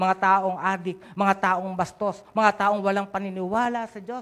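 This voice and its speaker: A man talks at a moderate pace with a high pitch and monotone, flat intonation. The recording is very clean, with a silent background. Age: 70s. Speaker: pastor. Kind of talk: sermon. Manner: halting, many fillers.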